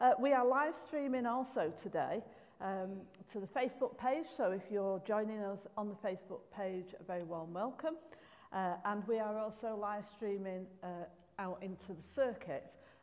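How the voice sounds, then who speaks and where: At a moderate pace, a woman speaks with pitch that varies in an ordinary way. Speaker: minister leading a service. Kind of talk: service welcome address. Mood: warm, amused. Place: church. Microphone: podium.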